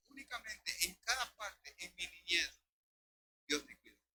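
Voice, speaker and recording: Background music plays throughout. Over it, a man speaks at a fairly quick pace. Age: 70s. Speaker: pastor. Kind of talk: sermon.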